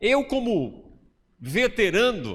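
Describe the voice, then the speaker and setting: Very wide pitch swings from a man on a very clean recording with a silent background. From Bahia, Brazil (interior). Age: 50s. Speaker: pastor. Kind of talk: sermon. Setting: church.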